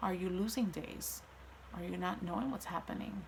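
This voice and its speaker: A woman speaks at a moderate pace. Her voice carries audible room echo. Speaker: vlogger sharing mental health story. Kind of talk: personal testimony monologue.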